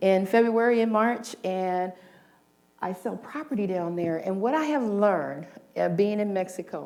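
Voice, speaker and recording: At a fairly slow pace, a woman of medium pitch speaks with lively intonation in a plain, everyday voice. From South Central Los Angeles. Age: 60s. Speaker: motivational speaker and minister. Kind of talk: inspirational talk.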